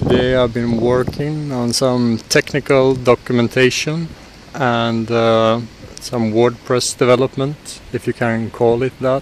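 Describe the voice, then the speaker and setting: A man at a fairly slow pace with monotone, flat intonation, a dry sound with no echo and light background noise. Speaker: tech vlogger. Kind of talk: casual vlog chat. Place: street. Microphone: phone near.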